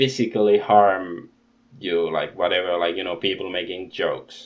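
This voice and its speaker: A man with a non-native accent. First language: not English. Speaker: YouTuber commentator. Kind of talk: casual rant. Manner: halting.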